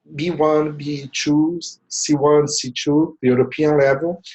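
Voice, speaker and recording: Pitched fairly high, a man speaks with a Portuguese accent. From Brazil. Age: 40s. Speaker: language tutor. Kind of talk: tutorial.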